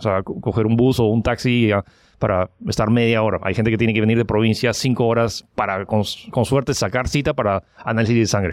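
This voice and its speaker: Speaking at a fairly quick pace, a man holds a medium pitch with fairly even intonation and very even loudness. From Peru. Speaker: online giveaway entrepreneur. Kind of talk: interview. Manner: halting.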